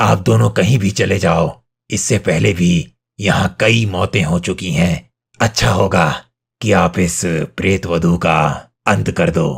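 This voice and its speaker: Here a man does a cartoonish character voice, raspy and very deep and low in pitch. His intonation is lively and his pace fairly slow. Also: very even loudness. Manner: grave, warning.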